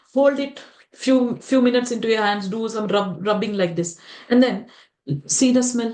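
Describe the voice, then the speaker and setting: Lively intonation marks this woman's high-pitched voice, which moves at a moderate pace amid audible room echo. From India, Telugu-speaking region. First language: Telugu. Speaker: spiritual teacher. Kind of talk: lecture. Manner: animated, many rhetorical questions.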